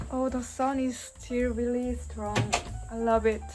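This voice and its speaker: A woman with a Korean accent, with audible room echo. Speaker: vlogger. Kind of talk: casual vlog house tour. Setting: at home, partly outdoors. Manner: halting.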